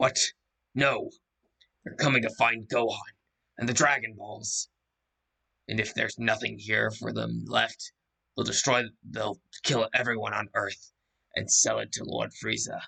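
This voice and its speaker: A man uses a raspy, put-on character voice at a moderate pace. His pauses are long and frequent. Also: medium pitch for a man. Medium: read story.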